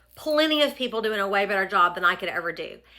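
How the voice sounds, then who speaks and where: A fairly high-pitched woman with an American accent and a bright, sharp tone. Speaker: fashion influencer. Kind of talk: casual vlog talk. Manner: fast; chatty.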